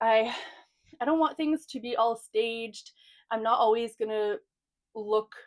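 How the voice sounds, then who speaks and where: A woman speaks fairly slowly in a fairly high voice with lively intonation, captured with a dry, close sound, no echo and a silent background in a very clean recording. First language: French. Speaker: book vlogger. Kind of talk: casual chat. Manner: casual, filler-heavy.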